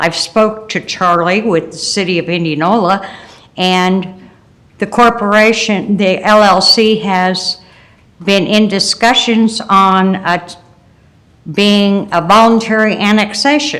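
A woman speaks very slowly in an American accent, her pitch medium. Her intonation stays fairly even. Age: 70s. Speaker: public commenter, local landowner. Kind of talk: public comment at county meeting. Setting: county boardroom meeting.

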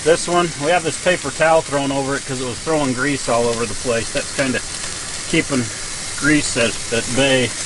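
A man speaks at medium pitch and a moderate pace, with fairly even intonation. Background noise is clearly audible.

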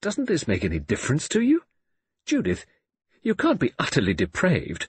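A man uses a put-on character voice, fairly high in pitch with a husky, rough edge. His pitch swings very widely at a moderate pace.

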